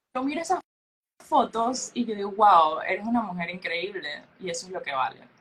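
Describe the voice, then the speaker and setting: This woman's voice sits fairly high and swings very widely in pitch. Her pace is moderate. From Panama. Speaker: beauty pageant queen. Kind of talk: interview. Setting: podcast.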